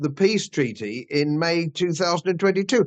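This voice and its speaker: A man speaks with a British accent at a moderate pace. His pitch is high. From England. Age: 70s. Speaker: political commentator, channel host. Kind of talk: interview conversation. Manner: hesitant with fillers.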